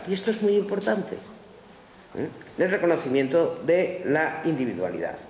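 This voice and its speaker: Noticeable background noise sits behind a woman of medium pitch speaking at a moderate pace. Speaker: philosopher giving a lecture. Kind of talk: lecture. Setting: conference room with audience.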